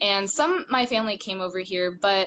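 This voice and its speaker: A woman speaks with an American accent and a bright, sharp tone. Her pitch varies in an ordinary way. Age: 20s. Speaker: stripper and cam worker. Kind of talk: casual interview chat. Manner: many fillers, um and like.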